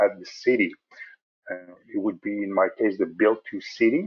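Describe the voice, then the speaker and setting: Against a quiet background, a man talks at a moderate pace with a French Canadian accent. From Quebec. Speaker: software support specialist; software trainer. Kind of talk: tutorial. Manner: hesitant, many fillers.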